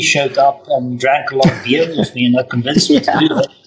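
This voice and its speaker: Pitch varies in an ordinary way as the man talks fairly quickly, with noticeable background noise present. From South Africa. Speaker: bar owner and entrepreneur. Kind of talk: interview.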